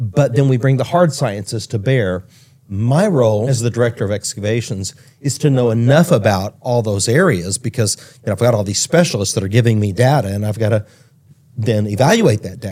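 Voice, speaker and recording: A man's somewhat breathy, dark and mellow voice at medium pitch with ordinary pitch variation, a fairly quick pace and an American accent. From Texas, Dallas area. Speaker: archaeologist. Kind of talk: interview conversation.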